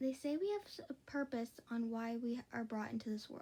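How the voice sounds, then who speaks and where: A quiet woman's voice, high in pitch and dark and mellow in tone, with ordinary pitch variation at a moderate pace. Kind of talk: read fan fiction story. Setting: late night at home. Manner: quiet, hushed.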